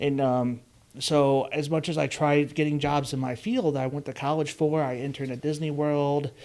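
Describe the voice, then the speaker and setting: With a Chicago-area accent, a man speaks at a moderate pace. His pitch is fairly high, and his intonation is monotone and flat. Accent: Chicago-area Midwestern, noticeable. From US Midwest (Chicago suburbs, DuPage County, Illinois). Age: 30s. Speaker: podcast host, car dealership employee. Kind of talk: casual chat. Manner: halting, many fillers.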